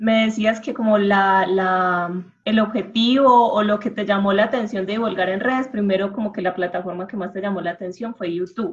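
Somewhat breathy, a woman speaks at a moderate pace with a fairly high pitch and ordinary pitch variation. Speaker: journalist. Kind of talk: interview.

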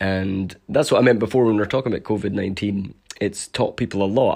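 In a very clean recording with a silent background, a man with a Scottish accent speaks at a fairly low pitch. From Scotland. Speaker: podcaster and live streamer. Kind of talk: casual monologue. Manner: halting.

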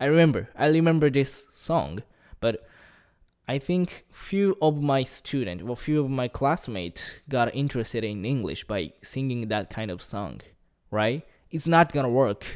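In a Japanese accent, a man talks at a medium pitch and moderate pace with lively intonation. The recording is very clean, with a silent background. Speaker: podcaster. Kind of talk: casual monologue. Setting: home recording. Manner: halting.

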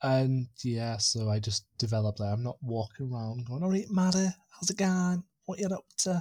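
A man's somewhat breathy voice with very wide pitch swings at a moderate pace, dry and close with no echo, on a very clean recording with a silent background. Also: medium pitch for a man. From northern England, Cumbria. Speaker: podcast host. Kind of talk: casual chat.

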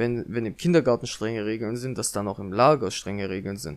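A man at a moderate pace, medium pitch and ordinary pitch variation. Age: 20s. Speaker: podcaster. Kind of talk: casual monologue. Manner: unscripted, hesitant with fillers.

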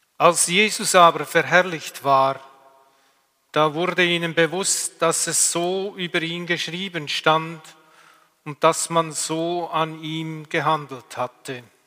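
A man's high voice at a very slow pace, with fairly even intonation. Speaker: deacon reading gospel. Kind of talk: scripture reading aloud. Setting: church.

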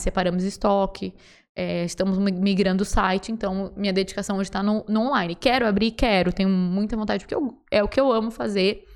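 A woman talks at a very fast pace in a medium pitch. The recording is very clean, with a silent background. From Rio Grande do Sul, Brazil. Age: 30s. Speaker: clothing and shoe store owner. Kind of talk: casual interview chat.

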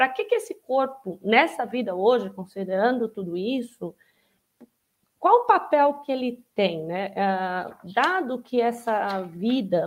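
A woman's high-pitched voice at a very slow pace, with very wide pitch swings and long, frequent pauses. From interior of São Paulo state, Brazil. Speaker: spiritist speaker. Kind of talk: lecture.

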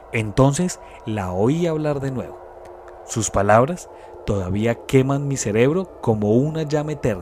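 A man with a Colombian accent speaks in a dramatic tone at medium pitch and a fairly slow pace, his intonation lively. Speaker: podcast host and storyteller. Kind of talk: ghost story telling, creepypasta read aloud in a spooky narrative style. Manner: hushed, eerie and suspenseful, with dramatic pauses.

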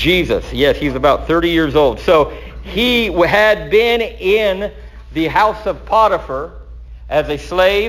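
A man with an American accent talks at a fairly slow pace. Noticeable background noise and audible room echo can be heard. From Texas. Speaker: pastor. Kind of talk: bible teaching sermon.

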